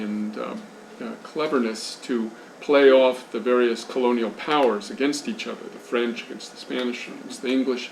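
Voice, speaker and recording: With audible room echo and noticeable background noise, a man talks at a moderate pace in a medium pitch with ordinary pitch variation. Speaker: journalist and speaker on Haiti. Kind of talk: lecture.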